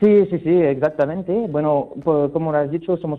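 A man is talking. The pitch varies in an ordinary way. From France. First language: French (speaking Spanish). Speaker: wine sample company representative. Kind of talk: radio interview. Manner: halting.

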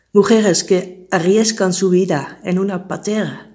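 Speaking at a fairly slow pace with a Dutch accent, a woman holds a medium pitch and fairly even intonation. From Netherlands. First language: Dutch (speaking Spanish). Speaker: migrant. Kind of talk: testimony.

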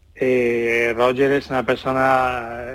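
A man's voice at medium pitch. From Andalusia, Jerez. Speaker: tennis communication professional. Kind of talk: radio interview.

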